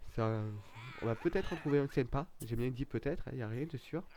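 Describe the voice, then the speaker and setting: A man with a strong southern French accent speaks in a sing-song way at a moderate pace, his dark, mellow tone showing ordinary pitch variation. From southern France, Nîmes area. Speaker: gaming YouTuber. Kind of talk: let's play gameplay commentary. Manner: sing-song intonation; hesitant, many fillers.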